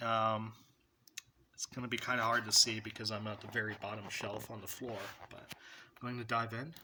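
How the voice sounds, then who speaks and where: A man speaks loudly in a bright, sharp tone. He leaves long, frequent pauses. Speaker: movie collector vlogger. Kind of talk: casual collection showcase. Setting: at home, on the floor by the shelf. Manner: trying to speak louder.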